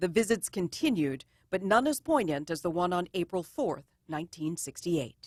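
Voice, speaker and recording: A woman with an ordinary speaking voice, fairly low in pitch, lively in intonation, at a moderate pace. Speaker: TV news reporter. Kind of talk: TV news narration.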